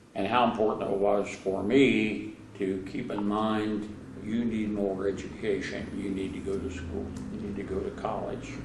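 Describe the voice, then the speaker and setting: Over noticeable background noise and audible room echo, a man with an American accent speaks at a moderate pace in a fairly low pitch with monotone, flat intonation. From southern Ohio, Brown County near Ripley. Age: 90s. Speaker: interviewee sharing life memories. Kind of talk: oral history interview. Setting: museum interview. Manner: hesitant, with frequent uh fillers.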